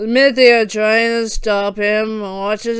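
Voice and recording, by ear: A natural voice reading aloud, with fairly even intonation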